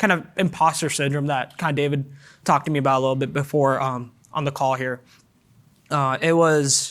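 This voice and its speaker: On a very clean recording with a silent background, a man of fairly high pitch talks at a fairly quick pace with fairly even intonation. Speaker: student panelist. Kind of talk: panel discussion. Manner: halting, many fillers.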